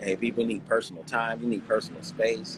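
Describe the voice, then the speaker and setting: This man has an American accent. His pace is fairly quick. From Inglewood, California. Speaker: actor and business owner. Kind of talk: interview answer. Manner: casual, mild-mannered.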